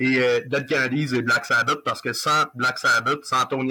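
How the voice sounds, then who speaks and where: The speaker, a man, talks at a moderate pace. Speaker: rock musician. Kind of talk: interview.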